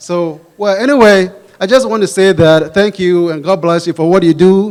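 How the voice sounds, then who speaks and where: A man's pitch varies in an ordinary way as he speaks at a moderate pace. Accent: Ghanaian. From Ghana, West Africa. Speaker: pastor, audience questioner. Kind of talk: audience Q&A question. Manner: halting, many restarts.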